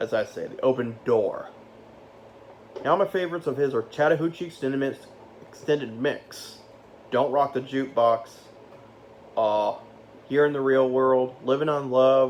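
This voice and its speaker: Speaking at a moderate pace with long, frequent pauses, a man holds a medium pitch with ordinary pitch variation. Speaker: youtuber ranking music. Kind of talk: casual vlog countdown. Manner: halting, self-correcting.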